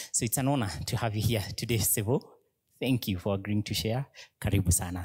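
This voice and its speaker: A fairly quick, somewhat breathy man's voice, fairly low in pitch, with ordinary pitch variation. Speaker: pastor. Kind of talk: introduction of a speaker.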